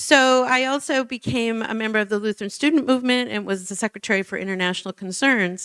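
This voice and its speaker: In an American accent, a woman with a fairly high pitch talks at a very fast pace with hardly any pauses, the sound dry and close with no echo. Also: ordinary pitch variation. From Minnesota, US Midwest. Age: 60s. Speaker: nonprofit director. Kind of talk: public talk. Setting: church forum with audience. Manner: conversational.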